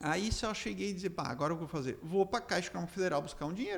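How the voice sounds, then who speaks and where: A man with a high pitch and lively intonation rattles along at a very fast pace. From Rio Grande do Sul, Brazil (Três Passos region). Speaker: entrepreneur. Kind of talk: interview storytelling. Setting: studio. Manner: animated.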